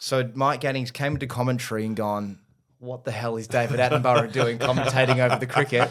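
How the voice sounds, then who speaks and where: A man's very fast, medium-pitched speech with an Australian accent. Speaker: podcaster and son of a famous cricketer. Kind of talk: casual interview chat. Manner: animated.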